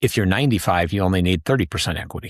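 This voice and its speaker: An unremarkable speaking voice from a man with an American accent, fairly low in pitch with ordinary variation, in a dry, close sound with no echo on a very clean recording with a silent background. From US Midwest, Wisconsin. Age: 60s. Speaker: reverse mortgage specialist. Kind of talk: podcast interview.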